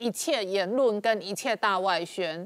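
A woman speaks at a very slow pace. The background is quiet and the sound is dry with no echo. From Taiwan. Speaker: TV talk show host. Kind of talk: interview. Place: studio.

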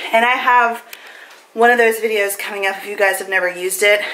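Over noticeable background noise, a woman speaks at a fairly high pitch in a flat monotone. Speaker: vlogger. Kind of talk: casual vlog. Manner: chatty, casual.

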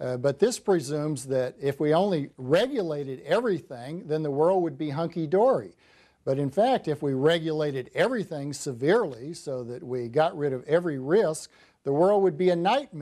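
Against a quiet background, a man with a fairly high pitch and a dark, mellow tone talks at a moderate pace with lively intonation. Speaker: political economist and author. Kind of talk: televised call-in interview. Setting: studio. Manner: frequent hesitations. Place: studio.

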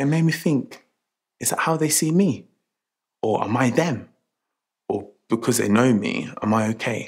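Fairly slow speech against a quiet background. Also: man. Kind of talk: scripted monologue to camera, training film. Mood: reflective, uneasy. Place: shop.

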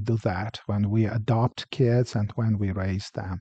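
With a dark, mellow tone and ordinary pitch variation, a man speaks fairly slowly, the sound dry with no echo over a quiet background. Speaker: pastor. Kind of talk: sermon. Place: church. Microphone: headset.

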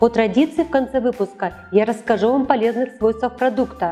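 A woman with a fairly high pitch speaks at a fairly quick pace with hardly any pauses. Her loudness stays very even, and faint music plays in the background. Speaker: weather presenter, TV announcer. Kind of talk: TV weather forecast presentation. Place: studio. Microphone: lapel.

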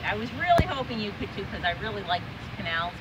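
The pace is very fast. Loud background noise fills the clip. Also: woman. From Massachusetts (Waltham); Massachusetts. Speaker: children's author and illustrator. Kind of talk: casual outdoor vlog narration. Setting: outdoors. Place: street.

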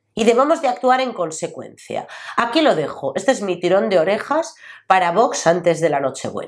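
A woman speaks in an animated tone with very wide pitch swings. The recording is very clean, with a silent background. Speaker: lawyer and political commentator. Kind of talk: political opinion vlog.

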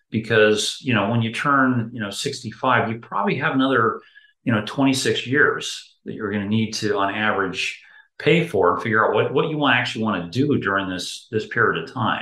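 Over a quiet background, a man talks fairly quickly in a bright, sharp tone, with audible room echo. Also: ordinary pitch variation. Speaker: interview guest. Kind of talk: interview answer. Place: home room. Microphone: video call.

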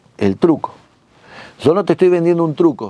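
Recorded dry with no echo, a man speaks at a moderate pace in a fairly high pitch. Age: 50s. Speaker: magician and magic teacher; magic teacher. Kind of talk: instructional talk. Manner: animated. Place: studio.

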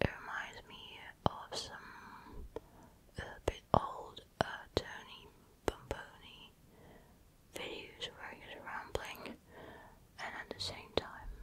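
A whispered voice breaks often into long pauses. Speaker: ASMR creator. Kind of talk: soft casual roleplay chat. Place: home room. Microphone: studio mic.

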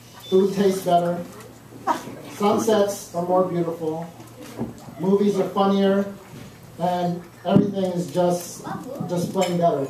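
Noticeable background noise and audible room echo accompany fairly slow, monotone, flat speech with long, frequent pauses. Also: man, high pitch for a man. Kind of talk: wedding speech. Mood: nervous, joking. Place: hall. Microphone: camera far.

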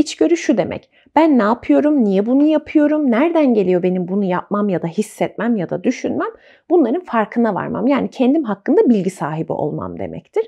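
The voice makes very wide pitch swings against a quiet background. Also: woman. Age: 30s. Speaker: psychological counselor. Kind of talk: casual chat. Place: home room. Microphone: lapel.

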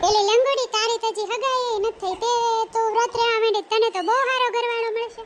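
In a squeaky, cartoonish character voice, a woman speaks at an extremely high pitch and a moderate pace. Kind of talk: comic cartoon dialogue. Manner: chatty, teasing.

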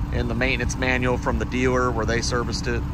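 Loud background noise surrounds a man's voice. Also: dry sound with no echo. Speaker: car dealer salesperson. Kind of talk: sales walk-around commentary. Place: street. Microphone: phone near.

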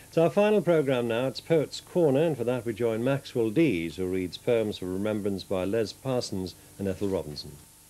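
With a warm tone that is also dark and mellow, a man at medium pitch speaks at a moderate pace with very wide pitch swings and hardly any pauses. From northeast England. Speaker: television continuity announcer. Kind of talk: TV weather report within closedown announcements. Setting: TV studio. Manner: smooth, warm, measured; friendly, chatty, slightly informal. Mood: warm, friendly late-night tone.

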